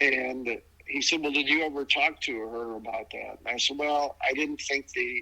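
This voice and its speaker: Against noticeable background noise, a man with an American accent speaks with fairly even intonation. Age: 70s. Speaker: adoptee telling his story. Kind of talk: interview testimony. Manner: halting, repeats words.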